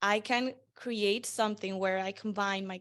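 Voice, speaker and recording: Over a quiet background, a woman with a Spanish accent talks at a medium pitch with ordinary pitch variation. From Venezuela. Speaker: marketing strategist. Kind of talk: interview.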